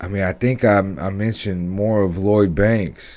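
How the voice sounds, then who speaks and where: Speaking at a fairly slow pace with an American accent, this voice comes through in a very clean recording with a silent background. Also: man. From US West Coast, California. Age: 30s. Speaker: reaction video host. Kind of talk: casual reaction commentary. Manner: halting, many fillers.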